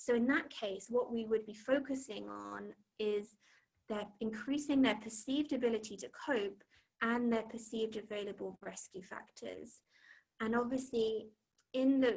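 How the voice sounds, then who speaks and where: A woman's somewhat breathy voice, fairly high in pitch, at a moderate pace, with fairly even intonation and big swings in loudness. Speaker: cognitive behavioural therapist. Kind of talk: online talk with slides. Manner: hesitant, many fillers.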